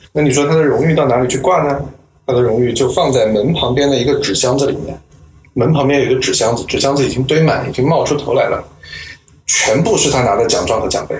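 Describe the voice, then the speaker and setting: Talking at a very fast pace, a man with a fairly high pitch and ordinary pitch variation comes through over noticeable background noise. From Nanjing, China. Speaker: professor. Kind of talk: interview.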